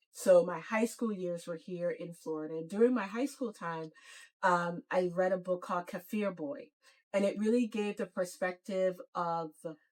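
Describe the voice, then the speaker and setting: In a Virgin Islands accent, a woman speaks at medium pitch and a moderate pace with ordinary pitch variation. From US Virgin Islands, Saint Thomas. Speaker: nonprofit CEO. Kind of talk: podcast interview. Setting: parked van.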